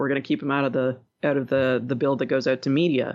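A fairly quick woman's voice, very deep and low in pitch. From Montreal, Quebec. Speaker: podcast co-host, former game tester. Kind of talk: casual chat.

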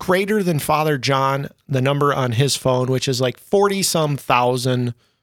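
On a very clean recording with a silent background, a man in a plain, everyday voice speaks fairly slowly at a fairly high pitch with lively intonation. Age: 40s.

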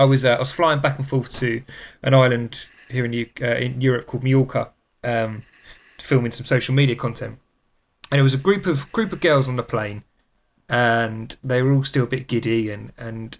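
Recorded very cleanly against a silent background, a man with an English accent speaks at a moderate pace. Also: medium pitch for a man. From England. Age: 30s. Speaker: podcast host. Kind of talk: casual chat. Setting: studio.

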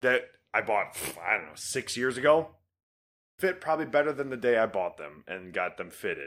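In a very clean recording with a silent background, a man talks with vocal fry and very wide pitch swings. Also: medium pitch for a man, moderate pace, big swings in loudness. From Detroit area, Michigan. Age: 20s. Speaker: podcast co-host. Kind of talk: casual chat.

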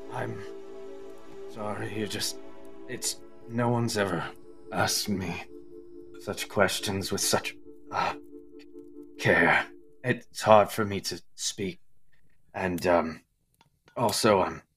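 Using a put-on character voice at a fairly low pitch, a man speaks at a very slow pace with long, frequent pauses while faint music plays in the background. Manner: shy, awkward, apologetic.

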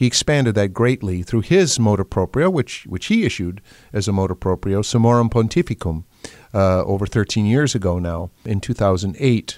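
A man with an unremarkable speaking voice talks at a moderate pace, fairly low in pitch, with ordinary pitch variation and a dry, close sound with no echo. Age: 60s. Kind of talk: interview. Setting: studio.

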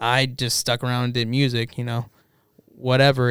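Talking at a fairly quick pace, a man with an American accent keeps a monotone, flat intonation. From El Paso, West Texas. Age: 20s. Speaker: musician. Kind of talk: casual chat. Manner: halting.

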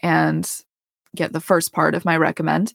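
A woman speaks in a fairly low pitch with vocal fry and monotone, flat intonation. The recording is very clean, with a silent background. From Colorado. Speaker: podcast host, dental hygienist. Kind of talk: personal storytelling monologue.

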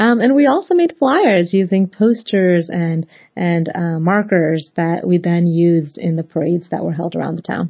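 A woman speaks at a fairly low pitch, her voice somewhat breathy. She hardly pauses at all. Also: ordinary pitch variation, moderate pace. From Northern Virginia, US (moved from Pakistan at 8). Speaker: embassy interviewee, former youth campaign volunteer. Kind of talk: interview. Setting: video podcast.

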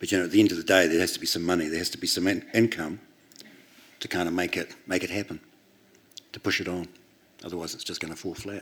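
A man with a New Zealand accent and a very deep, low pitch talks at a very fast pace in a monotone, flat intonation, leaving long, frequent pauses while his loudness swings widely. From New Zealand, Christchurch. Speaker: record label founder and author. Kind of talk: onstage interview. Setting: stage with audience.

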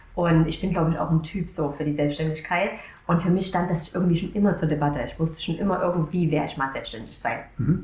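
A woman with a fairly low, somewhat breathy voice, very fast delivery, fairly even intonation, and audible room echo. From Saxony, Germany. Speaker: marketing agency owner. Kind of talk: casual interview chat.

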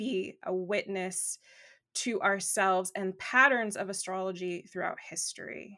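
Woman's bright, sharp voice in a Southern California accent. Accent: valley girl delivery. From Los Angeles, US. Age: 40s. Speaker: astrologer. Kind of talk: casual interview.

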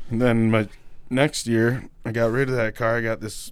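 The recording is very clean with a silent background. The voice has an American accent. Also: man. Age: 30s. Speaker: podcast host. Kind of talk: casual chat. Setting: studio.

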